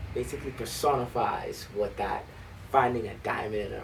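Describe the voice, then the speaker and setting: There is audible room echo and noticeable background noise as a man speaks with a Bahamian accent. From Bahamas. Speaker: high school band director. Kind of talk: interview. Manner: hesitant, many fillers.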